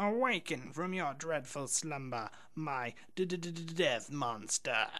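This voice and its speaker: In a put-on character voice with a theatrical tone and a middle pitch, the speaker delivers the lines at a very slow pace. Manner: affected, theatrical.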